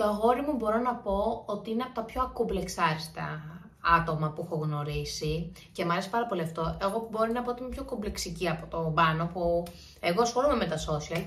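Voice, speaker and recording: Over noticeable background noise and audible room echo, a woman talks at a fairly quick pace and medium pitch with lively intonation. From Greece, Santorini. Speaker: YouTuber. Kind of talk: Q&A vlog, casual chat. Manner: chatty, informal.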